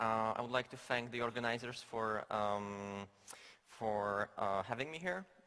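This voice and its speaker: A man with a Polish accent speaks at a fairly slow pace, his fairly low voice carrying a bright, sharp tone. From Poland. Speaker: game designer. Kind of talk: conference talk. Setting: stage with audience. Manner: halting, many fillers.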